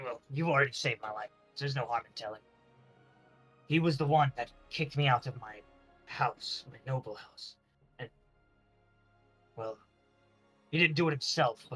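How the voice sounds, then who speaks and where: A put-on character voice from a man, medium in pitch, at a moderate pace over faint background music. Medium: actual play. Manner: hesitant, halting.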